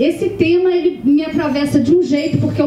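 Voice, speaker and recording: A woman talks with a Minas Gerais accent. Room echo is audible, and background noise is noticeable. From Minas Gerais, Brazil. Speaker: author. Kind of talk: panel discussion. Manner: hesitant, many fillers.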